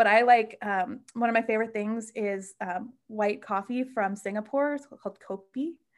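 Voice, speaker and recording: A woman with a normal speaking voice talks in an American accent at a fairly high pitch and moderate pace, with fairly even intonation and hardly any pauses. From US Midwest, Chicago northwest suburbs. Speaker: solo car camper. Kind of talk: casual interview chat.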